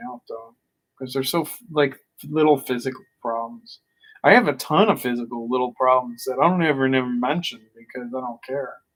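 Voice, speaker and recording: Big swings in loudness mark this man's ordinary speaking voice, which sits at medium pitch with ordinary pitch variation and a moderate pace. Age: 40s. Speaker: vlogger. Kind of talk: casual monologue. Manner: frustrated venting.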